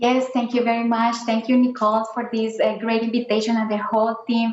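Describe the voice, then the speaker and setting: Over noticeable background noise, a woman with a Spanish accent speaks at a fairly high pitch in a flat, monotone way. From Colombia. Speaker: scientist. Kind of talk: panel discussion. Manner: hesitant, many fillers.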